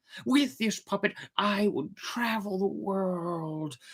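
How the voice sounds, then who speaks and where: The put-on character voice moves along at a fairly slow pace. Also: man. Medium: read story. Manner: lively, fiery.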